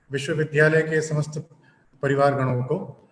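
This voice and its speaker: A man with a non-native accent speaks at a fairly high pitch with fairly even intonation. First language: not Hindi (speaking Hindi). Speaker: guest lecturer. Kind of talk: lecture. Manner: halting; formal.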